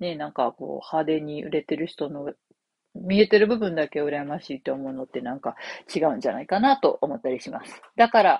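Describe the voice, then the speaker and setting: With a very deep, low pitch, a woman speaks at a fairly quick pace with lively intonation and big swings in loudness. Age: 40s. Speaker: copywriter and podcast host. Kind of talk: casual solo talk. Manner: many fillers, conversational.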